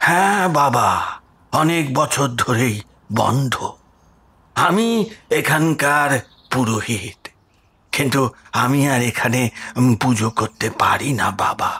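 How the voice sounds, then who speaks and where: Whispering at a very slow pace, a man puts on a character voice. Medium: audio drama. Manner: whispering, sorrowful.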